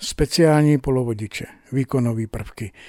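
A man with a normal speaking voice, a medium pitch, fairly even intonation and a fairly slow pace, in a dry, close sound with no echo. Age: 60s. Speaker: electronics repairman. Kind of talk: interview. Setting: repair workshop.

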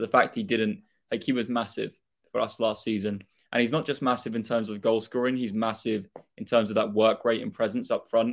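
Recorded very cleanly against a silent background, a man with an ordinary speaking voice talks at a medium pitch with fairly even intonation. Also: fairly quick pace. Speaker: football fan, YouTuber. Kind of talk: casual chat. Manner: casual, filler-heavy.

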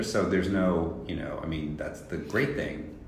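Through audible room echo and noticeable background noise, a man with a very deep, low pitch speaks at a moderate pace with ordinary pitch variation. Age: 60s. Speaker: fashion consultant. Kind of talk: casual chat. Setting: in person interview at a fashion week in Tokyo.

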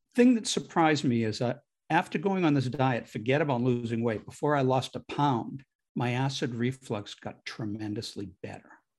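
Medium-pitched male speech, moderately paced, with ordinary pitch variation and an ordinary speaking voice. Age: 60s. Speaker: digestive health researcher and author. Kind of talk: interview.

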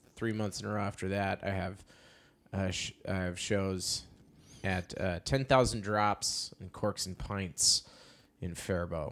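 This man has a very deep, low pitch. He talks with an Upper Midwest accent. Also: very clean recording, silent background. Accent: Upper Midwest American. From North Dakota, US. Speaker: stand-up comedian. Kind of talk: casual chat. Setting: studio.

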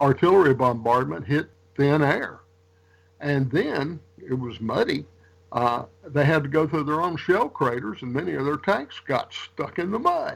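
This man speaks in a normal speaking voice, pitched fairly high. His pace is fairly slow, and his pitch variation is ordinary. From Louisiana, US South. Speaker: military historian and author. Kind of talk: interview.

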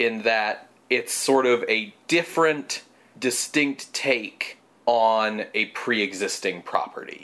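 A man talks at a very slow pace. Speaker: podcast host. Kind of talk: casual conversational, analytical.

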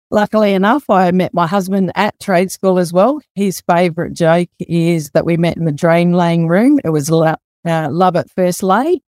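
A fairly low-pitched woman with an Australian accent, moderate pace, ordinary pitch variation, very even loudness and hardly any pauses, in a dry, close sound with no echo. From South Australia, Adelaide. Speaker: master plumber and mental health field officer. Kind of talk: casual interview.

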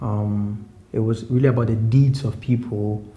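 A man is speaking here. His voice carries audible room echo. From Ghana (Accra). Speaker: rapper. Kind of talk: interview. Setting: at home.

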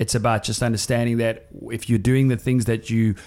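Speaking fairly quickly, a man keeps his voice at a medium pitch. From northern England. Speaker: personal trainer and podcast co-host. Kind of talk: casual chat.

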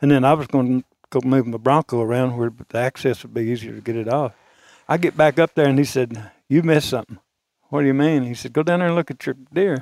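Very fast and with an Arkansas accent, a man speaks with ordinary pitch variation, the sound dry and close with no echo on a very clean recording with a silent background. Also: medium pitch for a man. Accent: Southern US (Arkansas). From small-town Arkansas. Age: 70s. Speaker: retired auto parts dealer, deer hunter. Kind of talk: storytelling. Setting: hunting camp.

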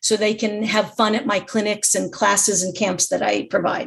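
A woman with an American accent, fairly high pitch, a somewhat breathy voice, fairly even intonation and a moderate pace. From US West Coast, Los Angeles. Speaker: pickleball instructor and champion. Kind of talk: interview.

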